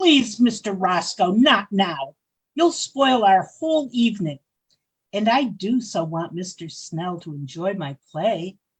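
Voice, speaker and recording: In a put-on character voice, the speaker uses a middle pitch and a fairly slow pace. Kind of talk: 1940s radio acting. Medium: audio drama. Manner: imperious, genteel.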